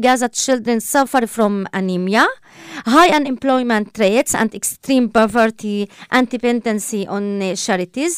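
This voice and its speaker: A fairly high-pitched woman with an Arabic accent and lively intonation, at a fairly slow pace, in a dry, close sound with no echo. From Palestine (Israel). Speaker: politician. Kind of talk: interview.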